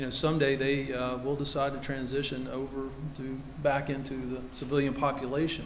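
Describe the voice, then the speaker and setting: Someone with a Kentucky accent talks at a moderate pace, with audible room echo around the voice. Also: man. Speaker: navy admiral. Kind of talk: ceremony speech. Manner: halting, many fillers.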